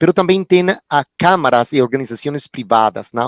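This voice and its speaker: Recorded with a dry, close sound and no echo, a man with a Spanish accent talks at a medium pitch and moderate pace, with ordinary pitch variation. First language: Spanish (speaking Portuguese). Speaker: film commission coordinator. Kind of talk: panel talk. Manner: halting.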